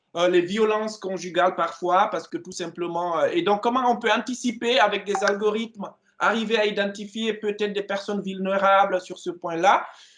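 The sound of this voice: This man has a high pitch and a fairly bright tone. His intonation is fairly even, and his pace is moderate.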